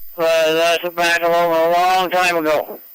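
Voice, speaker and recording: The speaker talks at a fairly slow pace. There is a Maritime Canadian accent. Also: man. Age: 80s+. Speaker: ham radio operator. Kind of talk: radio net conversation. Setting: amateur radio transmission.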